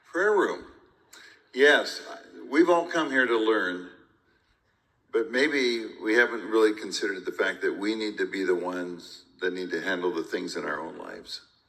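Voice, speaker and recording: Audible room echo fills the recording. A man speaks with long, frequent pauses. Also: moderate pace. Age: 70s. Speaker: pastor. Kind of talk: onstage conversation at a conference.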